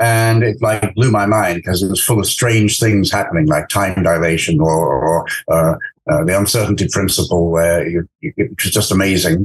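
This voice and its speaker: In an English accent, the speaker keeps a moderate pace with ordinary pitch variation and very even loudness. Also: man, very deep, low pitch for a man. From England. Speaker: astrophysicist. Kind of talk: interview. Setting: podcast. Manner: halting, many fillers.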